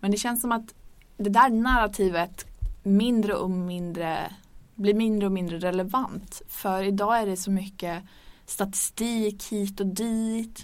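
In an unremarkable speaking voice, a woman talks at a fairly slow pace and medium pitch. Her intonation is fairly even, on a very clean recording with a silent background. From northern Sweden (Örnsköldsvik). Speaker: podcast host. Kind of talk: casual chat. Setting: studio.

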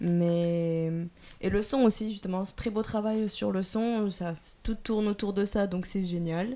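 Her dark, mellow voice sits at a medium pitch for a woman, moving at a very slow pace with fairly even intonation. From southern France. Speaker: film production student. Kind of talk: casual chat.

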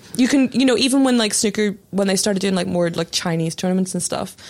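Noticeable background noise sits behind a woman speaking at a very fast pace. Her pitch is medium, with ordinary pitch variation. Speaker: journalist and novelist. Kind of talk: casual chat.

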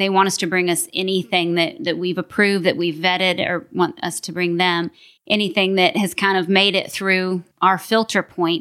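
A voice with an American accent. The tone is bright and sharp. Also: woman, medium pitch for a woman, ordinary pitch variation, moderate pace, very clean recording, silent background. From Kentucky, US South. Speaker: business development lead at wealth management firm. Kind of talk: interview.

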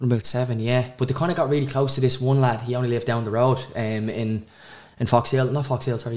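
Speaking very fast with a Dublin accent, a man has a medium-pitched, somewhat breathy voice and monotone, flat intonation. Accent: north Dublin Irish. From Ireland, north Dublin. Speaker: social media vlogger and business owner. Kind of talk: interview.

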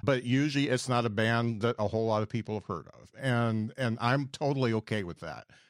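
A man with a normal speaking voice at medium pitch talks with big swings in loudness, ordinary pitch variation and hardly any pauses. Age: 50s. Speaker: podcast host and stand-up comedian. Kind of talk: casual interview chat.

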